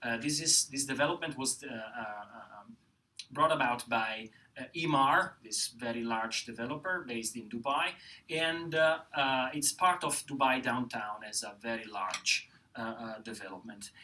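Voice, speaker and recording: With an Italian accent, a man speaks at a moderate pace and medium pitch in a bright, sharp tone. His loudness swings widely. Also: ordinary pitch variation. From Italy. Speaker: professor. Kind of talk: panel presentation. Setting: lecture hall with audience. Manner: halting, many fillers.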